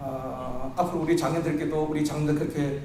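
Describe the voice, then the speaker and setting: A man speaks at a moderate pace. Noticeable background noise and audible room echo surround him. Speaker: pastor. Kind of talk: sermon.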